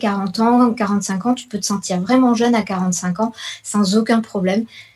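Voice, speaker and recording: A woman's somewhat breathy voice has a dark, mellow tone and fairly even intonation. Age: 40s. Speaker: yoga teacher and nutritionist. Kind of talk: radio interview.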